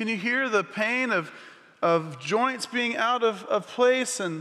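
Against a quiet background, a raised, projected voice rings out with a bright, sharp tone and lively intonation. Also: man. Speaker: missions pastor. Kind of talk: sermon. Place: church. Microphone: headset.

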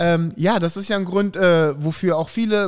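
The background stays quiet while a man talks with ordinary pitch variation. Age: 40s. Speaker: podcast host. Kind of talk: casual chat. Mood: relaxed, friendly. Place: studio. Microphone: studio mic.

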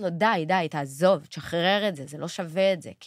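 This very clean recording, with a silent background, captures a woman speaking. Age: 30s. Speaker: sister of a hostage, advocate. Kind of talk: interview.

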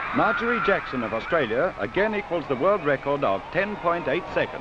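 Over noticeable background noise, a man with a high pitch and lively intonation speaks at a moderate pace. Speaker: newsreel commentator. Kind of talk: 1950 newsreel sports commentary. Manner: brisk, clipped, formal announcer delivery.

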